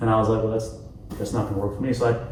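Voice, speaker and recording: Noticeable background noise and audible room echo. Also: man. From US South. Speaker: interview guest. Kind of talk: casual interview chat. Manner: relaxed, laid-back.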